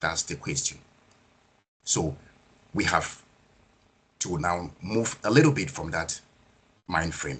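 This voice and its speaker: Very slow speech with vocal fry, lively intonation and long, frequent pauses. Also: man, very deep, low pitch for a man. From Nigeria. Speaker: project management speaker. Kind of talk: webinar presentation.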